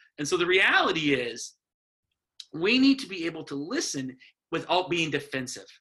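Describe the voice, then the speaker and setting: A high-pitched man's bright, sharp voice with an American accent, lively intonation, a moderate pace and long, frequent pauses. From US Midwest, Wisconsin. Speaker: rural pastor. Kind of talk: casual chat.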